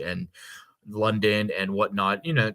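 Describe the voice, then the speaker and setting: A man with an American accent, fairly low in pitch and bright and sharp in tone, on a very clean recording with a silent background. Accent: Northeast Ohio, slightly changed. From Northeast Ohio / Western Pennsylvania. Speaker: podcast host. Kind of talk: casual chat.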